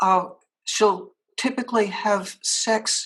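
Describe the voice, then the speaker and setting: A woman speaks in a somewhat breathy voice. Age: 70s. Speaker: author and anti-trafficking advocate. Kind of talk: podcast interview.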